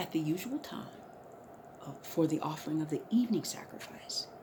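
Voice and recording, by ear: A woman whispers at a moderate pace.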